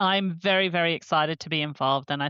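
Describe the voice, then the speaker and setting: Speaking at a fairly quick pace is a woman. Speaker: regular podcast panelist. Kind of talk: conversational, enthusiastic.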